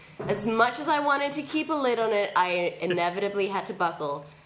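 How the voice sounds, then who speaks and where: A woman speaks at a moderate pace with very wide pitch swings, her voice carrying audible room echo. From England. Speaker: comedian. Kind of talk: casual chat.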